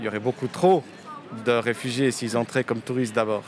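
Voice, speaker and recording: Here a man is talking. His pitch is medium. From French-speaking Switzerland (Lausanne), born in Romania. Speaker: novelist. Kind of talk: interview. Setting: outdoors, street in Lausanne.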